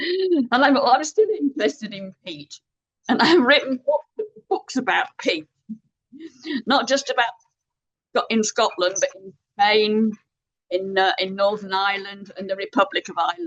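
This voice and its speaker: A woman with a fairly high pitch speaks at a moderate pace, using very wide pitch swings, big swings in loudness and long, frequent pauses, in a dry, close sound with no echo. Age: 70s. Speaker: environmental activist and author. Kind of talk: webinar interview. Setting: video call. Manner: halting, with repetitions.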